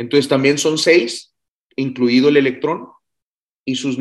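With an ordinary speaking voice, a man talks at a medium pitch and a fairly slow pace. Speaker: physicist hosting a science Q&A show. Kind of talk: casual science Q&A livestream. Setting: video call livestream.

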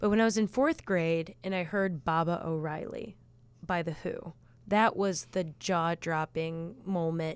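A strong Chicago accent carries fairly even intonation at a fairly slow pace. The recording is very clean, with a silent background. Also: woman, fairly low pitch for a woman. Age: 30s. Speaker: band guitarist and singer. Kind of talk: casual interview chat.

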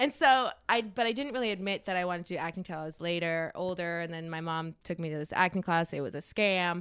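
With hardly any pauses, a woman with an American accent and fairly low pitch talks very fast with ordinary pitch variation on a very clean recording with a silent background. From US, Denver area, Colorado. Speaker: actress. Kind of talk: casual chat.

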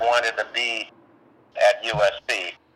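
A man speaks over noticeable background noise. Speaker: interviewee recalling radio production. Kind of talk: casual recorded interview reminiscing.

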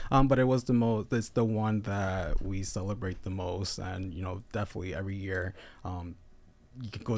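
Recorded very cleanly against a silent background, a man talks at a fairly quick pace with a fairly low pitch. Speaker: local pride festival organizer. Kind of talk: casual chat. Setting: studio. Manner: mumbling.

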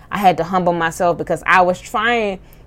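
This is a plain, everyday voice from a woman at medium pitch. Her intonation stays fairly even. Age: 30s. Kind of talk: faith-based personal monologue. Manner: casual, with filler words.

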